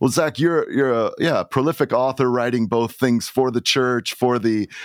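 This is an unremarkable speaking voice from a man at medium pitch and moderate pace, with fairly even intonation and very even loudness. The recording is very clean with a silent background, dry and close with no echo. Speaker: podcast host. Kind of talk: interview conversation.

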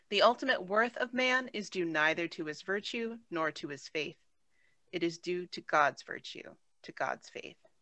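A woman speaks at a medium pitch and a moderate pace in a normal speaking voice, with lively intonation and big swings in loudness. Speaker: class participant. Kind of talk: reading aloud. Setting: video call.

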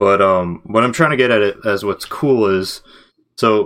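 A man with a plain, everyday voice, fairly low in pitch with ordinary pitch variation, in a very clean recording over a silent background. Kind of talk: casual chat. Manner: casual, joking.

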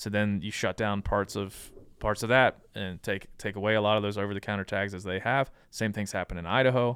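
A man in an ordinary speaking voice talks at a fairly quick pace and fairly low pitch, with fairly even intonation and hardly any pauses. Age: 30s. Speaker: hunting podcast host and nonprofit founder. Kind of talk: casual interview.

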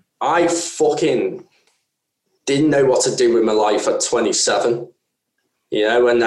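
A man with a Merseyside accent. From northern England, Wirral. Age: 30s. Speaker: podcast co-host. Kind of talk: casual chat.

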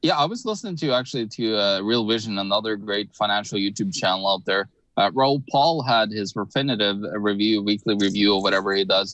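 A man with an unremarkable speaking voice talks at a fairly low pitch with ordinary pitch variation, hardly any pauses, and a quiet background. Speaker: economic analyst. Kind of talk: live online panel discussion on finance news. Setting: video call.

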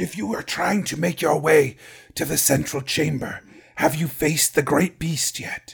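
A man's raspy put-on character voice, fairly high in pitch. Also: moderate pace. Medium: actual play. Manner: formal, stilted, no contractions.

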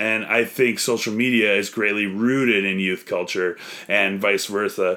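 With a Canadian accent, a man talks at a fairly slow pace. His tone is bright and sharp. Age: 30s. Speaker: comedian. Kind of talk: casual debate.

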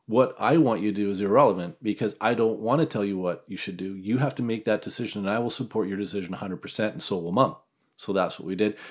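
A man with a Western Canadian accent, fairly low pitch, ordinary pitch variation and a very fast pace, in a very clean recording with a silent background. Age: 50s. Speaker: hunter. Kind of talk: casual chat.

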